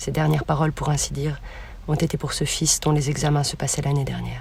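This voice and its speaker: A woman is speaking here. Her pace is very fast. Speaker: student. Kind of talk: reading aloud. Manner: formal.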